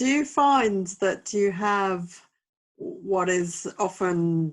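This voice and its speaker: A woman's voice, very cleanly recorded against a silent background. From Edinburgh, Scotland. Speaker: podcast host. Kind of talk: casual chat.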